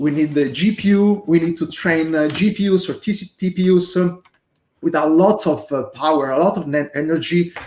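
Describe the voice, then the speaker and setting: A man speaks with a non-native accent in a high voice. His pitch varies in an ordinary way at a moderate pace. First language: not English. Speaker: software developer, library creator. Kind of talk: casual discussion on a livestream. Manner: hesitant, many fillers.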